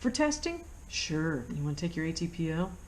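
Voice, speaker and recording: Somewhat breathy, a woman with an American accent swings her pitch very widely, with audible room echo around her. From United States. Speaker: flight instructor. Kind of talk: tutorial. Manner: casual, with many fillers.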